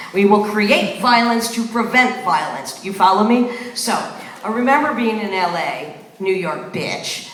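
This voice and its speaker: Against noticeable background noise, a woman with an American accent talks at a fairly slow pace with ordinary pitch variation. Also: fairly high pitch for a woman. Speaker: spoken word performer. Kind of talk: live spoken word performance. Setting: live venue, audience. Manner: profane, confrontational.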